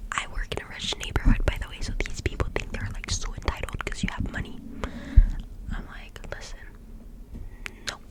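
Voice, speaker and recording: Whispering at a fairly quick pace, a woman leaves long, frequent pauses, her loudness swinging widely against noticeable background noise. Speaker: ASMR creator who works a drive-thru coffee job. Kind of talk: casual talk to camera, ASMR-style rambling. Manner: whispered, chatty.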